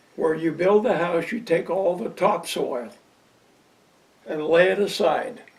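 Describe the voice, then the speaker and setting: With an American accent, the speaker goes at a fairly slow pace with long, frequent pauses and ordinary pitch variation, and background noise is noticeable. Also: man, high pitch for a man. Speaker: retired local resident. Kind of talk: interview.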